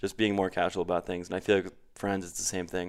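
In a very clean recording with a silent background, a man with an American accent and a very deep, low pitch speaks very fast in a monotone, flat intonation. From Connecticut, US Northeast. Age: 30s. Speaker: salesperson and bartender. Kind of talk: casual interview. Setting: studio.

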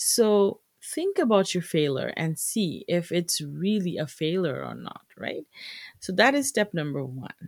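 In a very clean recording with a silent background, a woman with a Bengali accent speaks at a fairly slow pace, her loudness swinging widely. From Bangladesh. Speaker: podcast host, entrepreneur. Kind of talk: solo podcast monologue, business tips. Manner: casual, many filler words.

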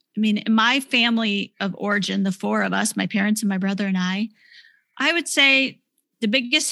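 On a very clean recording with a silent background, a woman with a normal speaking voice talks at a fairly quick pace, medium in pitch with ordinary pitch variation. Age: 40s. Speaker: author. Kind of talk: testimony.

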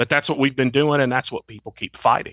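Recorded very cleanly against a silent background, a man with a Southern US accent speaks at a medium pitch in a bright, sharp tone, the sound dry and close with no echo. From Arkansas. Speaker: firearms trainer and retired army officer. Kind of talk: interview.

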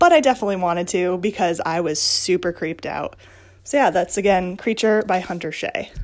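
A woman speaks in a normal speaking voice at a medium pitch. Her pace is fairly quick, with ordinary pitch variation. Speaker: listener contributor. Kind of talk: recorded message recommending a book.

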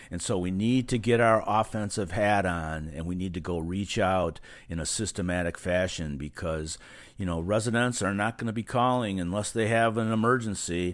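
With an unremarkable speaking voice, a man talks at a moderate speed, his pitch fairly low and its variation ordinary. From California. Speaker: marketing company owner. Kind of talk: podcast interview.

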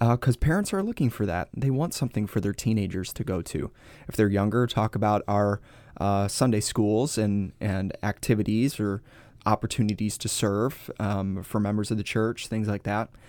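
At a moderate pace, a man speaks with fairly even intonation in a very clean recording against a silent background. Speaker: pastor. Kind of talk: casual teaching conversation.

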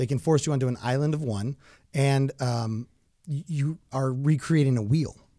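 On a very clean recording with a silent background, a man's dark, mellow, medium-pitched voice moves at a moderate pace with ordinary pitch variation. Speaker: podcast co-host, former glazing subcontractor. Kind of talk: casual chat.

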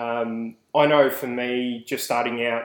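Here a man with an Australian accent talks at medium pitch with fairly even intonation. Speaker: podcast host. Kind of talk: casual banter.

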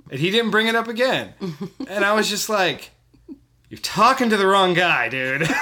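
A man's high-pitched, raised, projected voice with an American accent, lively intonation, a moderate pace and long, frequent pauses. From California. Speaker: comedy podcast co-host. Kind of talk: casual chat.

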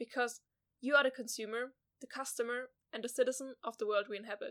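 With a German accent, a woman speaks high in pitch at a fairly quick pace and with fairly even intonation. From southwest Germany. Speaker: podcast host, journalism student. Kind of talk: scripted narration.

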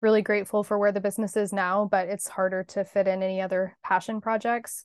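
A woman with an American accent talks at a moderate pace in a medium pitch. It is an unremarkable speaking voice. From Kansas (Hutchinson). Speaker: marketing agency owner. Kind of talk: casual interview.

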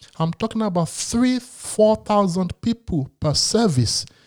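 The delivery is fairly slow with lively intonation. The sound is dry and close, with no echo. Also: man. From Nigeria (Lagos). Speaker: pastor. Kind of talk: religious discussion.

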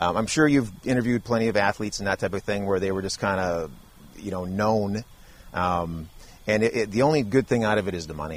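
A man speaks with a fairly low pitch and an American accent. His pitch varies in an ordinary way, and his pace is very fast. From Wisconsin. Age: 40s. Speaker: reality TV contestant. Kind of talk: interview conversation. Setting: outdoors in a backyard.

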